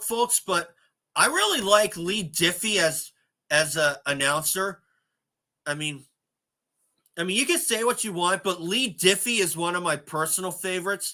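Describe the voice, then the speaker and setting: The voice is raised and projected, bright and sharp in tone, broken by long, frequent pauses. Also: man. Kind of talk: casual talk to camera, tribute commentary. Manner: conversational, sad.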